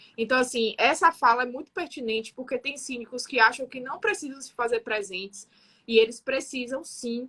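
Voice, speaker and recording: A woman talks at a fairly quick pace. Her high-pitched voice has a bright, sharp tone. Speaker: building manager. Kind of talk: radio talk show discussion.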